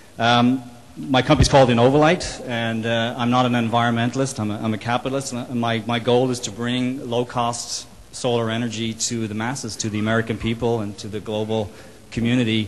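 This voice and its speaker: Noticeable background noise sits behind a man with an Irish accent who speaks at a fairly quick pace and medium pitch in a monotone, flat intonation. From Ireland. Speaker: solar company executive. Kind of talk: panel discussion. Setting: roundtable event. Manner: halting, many repetitions and fillers.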